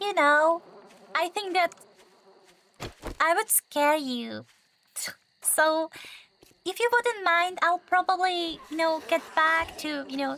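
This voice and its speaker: Speaking at a very slow pace, a woman with a non-native accent uses a raised, projected voice and ordinary pitch variation, heard dry and close with no echo. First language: not English. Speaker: gaming livestreamer. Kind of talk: casual live gaming stream chat. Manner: hesitant, many fillers.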